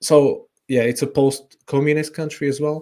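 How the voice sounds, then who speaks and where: A man with a Slovak accent and a dark, mellow tone, on a very clean recording with a silent background. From Slovakia. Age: 30s. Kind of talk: interview. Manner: halting, many fillers.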